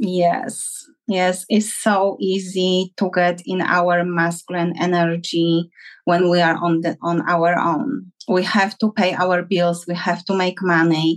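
At a very slow pace, a woman speaks with a Polish accent. Her pitch is fairly low and her intonation fairly even. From Poland. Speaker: relationship coach. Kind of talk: interview. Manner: halting.

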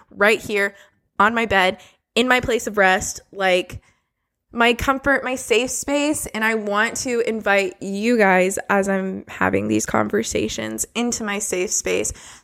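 The speech moves at a fairly slow pace with fairly even intonation, on a very clean recording with a silent background. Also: woman, medium pitch for a woman. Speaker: podcast host. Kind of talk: casual monologue. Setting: home, recording on bed. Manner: casual, filler-heavy.

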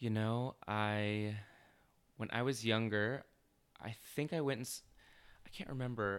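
A man with an American accent speaks at a medium pitch. His intonation is fairly even, broken by long, frequent pauses. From Arizona, Chandler area. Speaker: web designer and entrepreneur. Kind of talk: interview.

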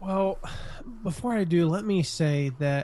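At a moderate pace, a man talks in a somewhat breathy voice with an American accent. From US, suburbs. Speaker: blogger and author. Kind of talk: interview.

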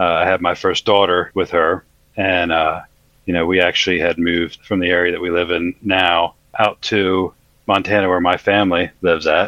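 A man with an American accent speaks at a moderate pace in a very deep, low voice. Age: 40s. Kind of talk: testimony.

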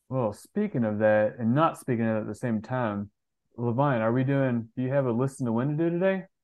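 Delivered at a fairly quick pace, this man's medium-pitched speech has ordinary pitch variation and an unremarkable speaking voice. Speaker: podcast host. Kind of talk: casual interview chat.

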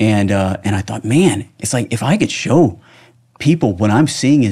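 An American-accented man, somewhat breathy with a dark, mellow tone and very wide pitch swings, at a moderate pace in a very clean recording with a silent background. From United States. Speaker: film director and screenwriter. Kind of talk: casual interview. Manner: halting, repetitive false starts.

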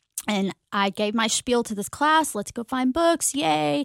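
A woman's fairly high voice, dry and close with no echo, on a very clean recording with a silent background. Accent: American. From Texas, Mesquite (Dallas area). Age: 40s. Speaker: school librarian. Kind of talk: interview. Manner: hesitant, many fillers.

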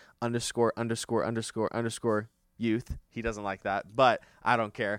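A man speaks at a fairly quick pace on a very clean recording, the background silent. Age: 20s. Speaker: youth pastor. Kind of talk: casual chat. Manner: energetic.

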